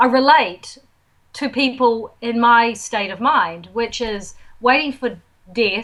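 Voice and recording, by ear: A woman speaks at a fairly high pitch with a fairly bright tone.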